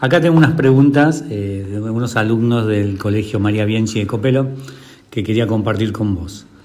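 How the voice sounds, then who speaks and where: A man speaks at a moderate pace in a room with audible echo. His pitch is fairly low, with ordinary variation. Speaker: interviewer, teacher. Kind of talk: interview.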